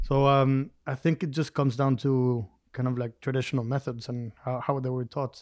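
Recorded with a dry, close sound and no echo, a man of medium pitch speaks at a moderate pace with a Spanish accent. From Durango, Mexico. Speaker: mezcal producer. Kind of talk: interview.

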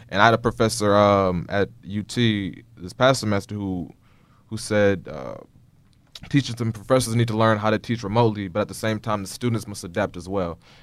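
A man with an unremarkable speaking voice, fairly low in pitch, fairly quick in pace, with fairly even intonation. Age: 20s. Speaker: podcast host. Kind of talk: casual interview chat. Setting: studio, sitting across from guest.

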